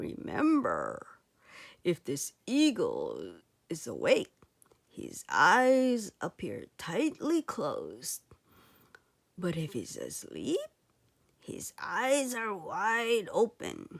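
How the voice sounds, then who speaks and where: Long, frequent pauses break up this woman's very slow delivery. She uses a put-on character voice with big swings in loudness. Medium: read story.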